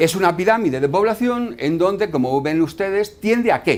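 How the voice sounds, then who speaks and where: This man talks at a moderate pace in a high voice. His pitch swings very widely. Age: 60s. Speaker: doctor. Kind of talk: lecture. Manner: halting.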